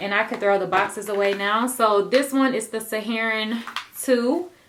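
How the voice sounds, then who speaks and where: A woman with a fairly high pitch can be heard amid noticeable background noise. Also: ordinary pitch variation, moderate pace. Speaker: beauty vlogger. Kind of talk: casual product haul.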